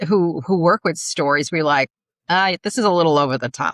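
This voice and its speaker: A woman speaks with a New York accent. The sound is dry and close, with no echo. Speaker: podcast co-host, story and speech coach. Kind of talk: interview conversation.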